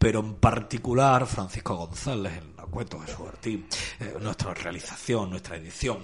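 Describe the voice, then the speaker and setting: A man with an unremarkable speaking voice, fairly low pitch, ordinary pitch variation, big swings in loudness and a fairly slow pace. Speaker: radio host. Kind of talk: radio show. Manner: formal.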